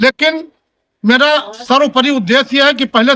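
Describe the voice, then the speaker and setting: Projecting his voice, a man speaks at an extremely high pitch with ordinary pitch variation and a bright, sharp tone. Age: 70s. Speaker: politician. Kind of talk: speech to reporters at community meeting.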